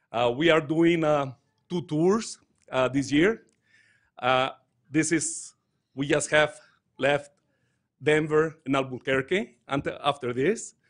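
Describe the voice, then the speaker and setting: A man with a Mexican accent speaks very slowly at a fairly high pitch, with ordinary pitch variation and long, frequent pauses against a quiet background. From Mexico. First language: Spanish. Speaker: touring dance company director. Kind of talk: speech at a council meeting. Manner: halting.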